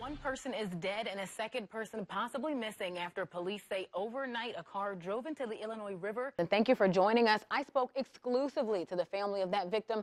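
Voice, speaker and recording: Talking at a very fast pace with hardly any pauses, a woman has a fairly high pitch and ordinary pitch variation, in a dry, close sound with no echo. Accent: American. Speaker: TV news reporter and anchor. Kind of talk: TV news anchor read.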